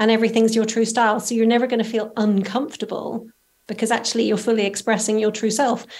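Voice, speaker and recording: A woman speaks very fast in a Northern Irish accent. Her fairly high pitch stays flat and monotone. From Northern Ireland. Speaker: style coach. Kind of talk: interview.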